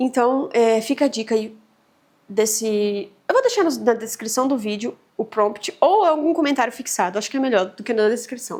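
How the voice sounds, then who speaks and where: The woman's voice is fairly high. Its pitch moves up and down in an ordinary way. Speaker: vlogger. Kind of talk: casual vlog talk to camera. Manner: fast; hesitant, many fillers.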